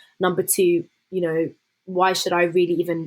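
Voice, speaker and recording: Medium-pitched female voice with monotone, flat intonation. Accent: southern English. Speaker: law student and former youth MP. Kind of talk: interview conversation.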